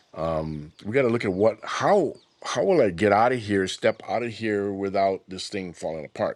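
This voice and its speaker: In a Hawaiian accent, a man talks at a moderate pace with a fairly low pitch and ordinary pitch variation. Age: 60s. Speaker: business founder. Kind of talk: interview.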